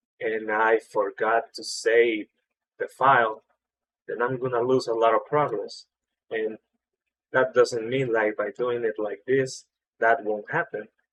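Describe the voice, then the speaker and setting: A man with a non-native accent speaks at a fairly slow pace with long, frequent pauses in a dry, close sound with no echo. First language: not English. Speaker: 3D artist. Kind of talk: tutorial. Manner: casual, filler-heavy.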